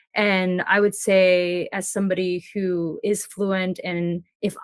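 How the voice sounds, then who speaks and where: With fairly even intonation, this woman holds a medium pitch. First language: Mandarin. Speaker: full-time travel blogger. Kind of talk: interview.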